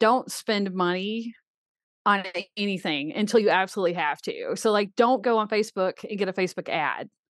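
In an unremarkable speaking voice with an American accent, a woman talks at medium pitch with ordinary pitch variation against a quiet background, the sound dry and close with no echo. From US South, Birmingham, Alabama. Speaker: author and horse racing writer. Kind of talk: casual interview.

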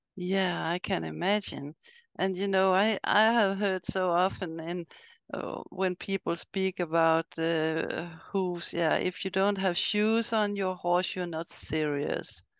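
Dry and close with no echo, a woman with a Swedish accent speaks very slowly at a medium pitch with fairly even intonation, against a quiet background. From Sweden. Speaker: podcast host and riding coach. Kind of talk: interview. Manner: halting.

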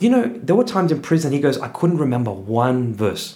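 A man speaks with an Australian accent. Audible room echo is present. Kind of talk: casual interview.

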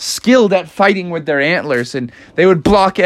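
The clip presents an unforced reading voice.

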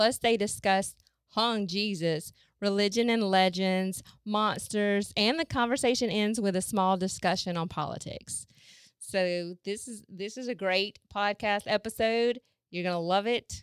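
With a Southern US accent and a medium pitch, a woman speaks at a fairly slow pace with ordinary pitch variation on a very clean recording with a silent background. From US South. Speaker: podcast host. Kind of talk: show introduction.

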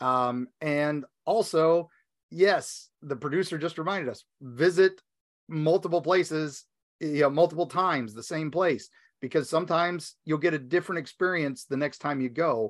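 A man with an American accent and a fairly high pitch, ordinary pitch variation, a moderate pace and a quiet background. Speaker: podcast host. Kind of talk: casual chat and reading a listener story. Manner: animated, joking.

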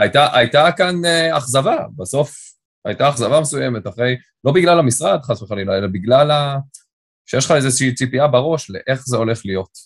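Lively in intonation and somewhat breathy, a man talks at a medium pitch and a fairly quick pace. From Israel, Tel Aviv (Ramat Aviv). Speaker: corporate lawyer. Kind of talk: interview. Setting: remote call. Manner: fluent talker.

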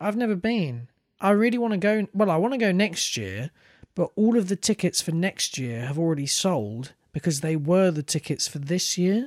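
A man speaks in a high pitch with very wide pitch swings. The sound is dry and close with no echo, on a very clean recording with a silent background. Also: moderate pace. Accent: British. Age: 20s. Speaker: podcast co-host. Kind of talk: casual chat.

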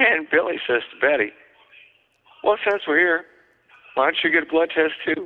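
A fairly high male voice at a moderate pace, with long, frequent pauses, ordinary pitch variation and very even loudness. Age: 60s. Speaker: pinup historian and writer. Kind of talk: casual interview.

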